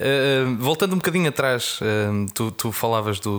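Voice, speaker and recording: A man speaks in a medium pitch at a moderate pace. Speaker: podcast host, beer communicator. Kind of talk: casual interview. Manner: hesitant, frequent word repetitions.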